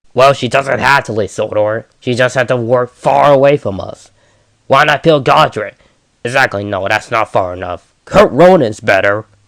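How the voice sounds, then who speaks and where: A man puts on a character voice. His pitch is medium and his pace moderate. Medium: audio drama. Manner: dramatic, petulant.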